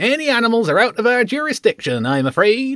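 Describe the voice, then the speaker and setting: A man puts on a character voice at an extremely high pitch, speaking at a fairly quick pace. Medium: read story. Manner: mock-polite.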